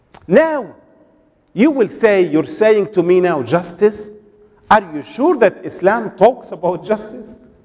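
A man with a high pitch speaks at a very slow pace with lively intonation. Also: quiet background. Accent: Arabic. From Egypt. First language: Arabic. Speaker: preacher. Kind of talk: sermon. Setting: mosque with congregation. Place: church. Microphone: podium.

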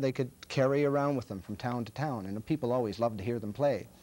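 A man with a dark, mellow tone and medium pitch speaks at a fairly quick pace with ordinary pitch variation. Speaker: storyteller and TV host. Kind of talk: TV show introduction to a story. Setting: studio. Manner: casual, conversational. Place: studio. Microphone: lapel.

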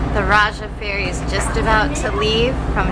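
Loud background noise fills the recording. Through it, a woman talks at a fairly slow pace. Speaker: travel blogger. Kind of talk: casual vlog chat. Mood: excited, cheerful. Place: boat. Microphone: phone near.

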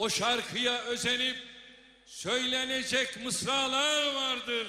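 Over noticeable background noise, a man with an extremely high pitch uses a raised, projected voice at a very slow pace with monotone, flat intonation. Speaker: politician reciting a poem at a party congress. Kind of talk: poetry reading. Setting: congress hall, public speech.

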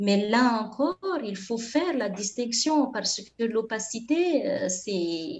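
A woman's fairly high voice with a Malagasy accent, lively intonation, a very slow pace and hardly any pauses. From Madagascar. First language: Malagasy (speaking French). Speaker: linguistics researcher; conference presenter. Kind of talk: conference talk; lecture. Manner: halting. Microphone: webcam.

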